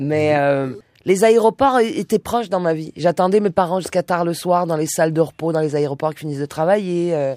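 Dark, mellow female voice at a fairly low pitch. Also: ordinary pitch variation, moderate pace, big swings in loudness, dry, close sound with no echo. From southern France, Nice. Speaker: singer and musician. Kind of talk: radio interview.

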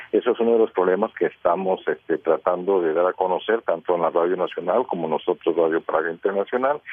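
A man at a very fast pace with very even loudness. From Costa Rica. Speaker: radio journalist. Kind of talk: radio panel discussion.

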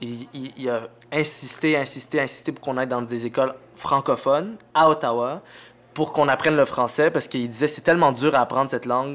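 A fairly high-pitched man speaks at a fairly quick pace with fairly even intonation. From Montreal, Quebec. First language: Arabic (speaking French). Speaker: comedian. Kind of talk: casual chat.

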